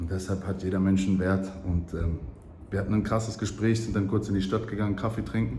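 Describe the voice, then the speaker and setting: A man at a fairly quick pace with a slight German accent, amid noticeable background noise and audible room echo. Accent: slight German accent when speaking English. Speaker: travel vlogger. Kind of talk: casual vlog monologue. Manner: animated.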